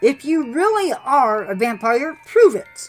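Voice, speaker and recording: Over background music, a woman puts on a high-pitched character voice with very wide pitch swings at a fairly slow pace. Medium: read story.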